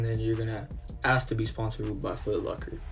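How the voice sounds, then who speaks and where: A man at a very fast pace, with music in the background and audible room echo. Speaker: gaming youtuber. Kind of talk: gameplay tutorial. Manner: casual.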